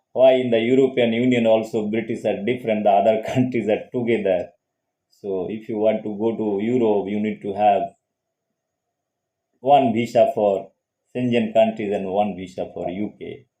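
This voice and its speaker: Speaking in a Bengali accent, a man keeps a medium pitch and a moderate pace. His intonation is monotone and flat. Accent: Indian English, Bengali. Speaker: psychologist and channel host. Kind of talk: casual lecture monologue.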